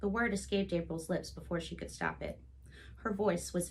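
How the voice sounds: Natural reading, with pitch moving in an ordinary way.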